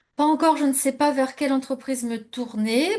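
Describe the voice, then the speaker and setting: A woman is speaking. Her voice has a somewhat breathy quality. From France, Normandy. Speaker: immigration coach. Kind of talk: webinar presentation. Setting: live online webinar. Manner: hesitant, many fillers.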